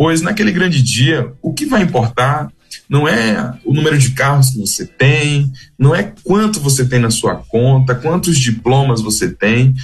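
Somewhat breathy and medium in pitch, a man's voice carries lively intonation at a fairly slow pace. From Bahia, Brazil (Alagoinhas). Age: 20s. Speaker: missionary, manager of a rehab mission. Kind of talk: radio interview.

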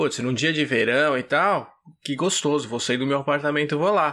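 In a very clean recording with a silent background, a man speaks at a moderate pace, his bright, sharp tone set at a fairly high pitch. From Brazil, Vinhedo, São Paulo state. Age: 30s. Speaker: podcast guest. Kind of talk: casual chat.

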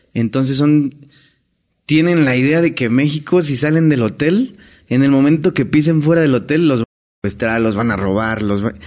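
In a Mexican accent, a man talks at a moderate pace. His pitch is fairly high, with ordinary pitch variation. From Mexico. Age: 30s. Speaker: hotel entertainer. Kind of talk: casual chat.

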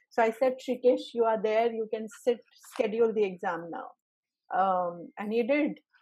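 A woman talks at a moderate pace in an Indian accent, her pitch high with ordinary variation. The background is quiet. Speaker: exam trainer and session host. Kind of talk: group Q&A session. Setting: video call.

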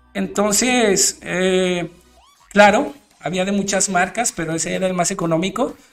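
Over music in the background, a speaker with a Mexican accent talks with fairly even intonation. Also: man, high pitch for a man, fairly slow pace. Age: 30s. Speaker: DJ and radio show host. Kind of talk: casual monologue. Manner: halting, many fillers and repetitions.

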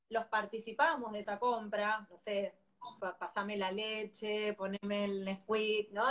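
A woman with a Rioplatense accent speaks at a fairly slow pace in a fairly high pitch. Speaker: parenting educator. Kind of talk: live-stream interview.

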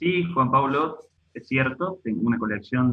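A man speaks in an unremarkable speaking voice. His pitch is medium, with ordinary variation. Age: 30s. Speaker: online video parody creator. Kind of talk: casual chat.

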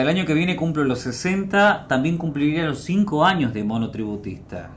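With hardly any pauses, a man speaks at a moderate pace and a fairly high pitch. His intonation is lively, and there is noticeable background noise. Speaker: radio host. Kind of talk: reading listener messages aloud. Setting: radio studio.

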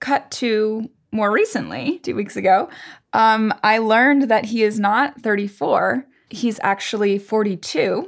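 Recorded very cleanly over a silent background, a woman with an American accent has an unremarkable speaking voice, fairly high pitch, ordinary pitch variation and a fairly slow pace. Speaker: podcast co-host. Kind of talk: casual chat.

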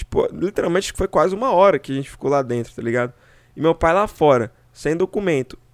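This man talks at a fairly quick pace with a high pitch and lively intonation. The sound is dry and close, with no echo. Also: very clean recording, silent background. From São Paulo state, Brazil. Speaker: podcast host. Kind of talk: casual chat.

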